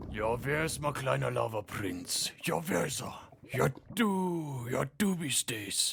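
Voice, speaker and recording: A man does a cartoonish character voice at a medium pitch. He talks at a fairly slow pace. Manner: relaxed, laid-back.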